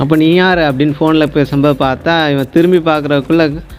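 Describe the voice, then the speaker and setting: Over music in the background, a man speaks with a fairly high pitch in a flat, monotone intonation. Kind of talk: movie explanation narration. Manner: casual, chatty storytelling.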